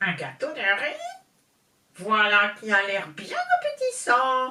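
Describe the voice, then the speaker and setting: A put-on character voice, female-sounding, fairly high in pitch, at a fairly slow pace. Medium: read story. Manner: brusque, shouting.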